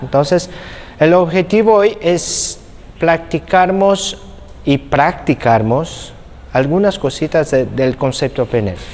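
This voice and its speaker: With noticeable background noise behind him, a man speaks at a very slow pace. His fairly high pitch carries lively intonation. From Brazil. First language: Portuguese (speaking Spanish). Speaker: physiotherapy instructor. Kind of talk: lecture.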